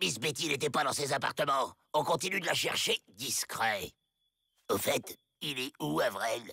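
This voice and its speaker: A man does a cartoonish character voice at a fairly high pitch, moving at a moderate pace with long, frequent pauses. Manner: irritable, bossy.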